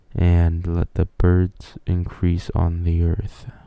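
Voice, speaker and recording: A soft-spoken man talks with a very deep, low pitch. His intonation is monotone and flat. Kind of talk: ASMR Bible reading.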